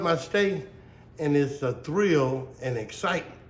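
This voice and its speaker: A man speaks in a Mississippi Delta accent with ordinary pitch variation. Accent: Mississippi Delta Southern US. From Indianola, Mississippi Delta. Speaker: blues musician. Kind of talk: interview answer.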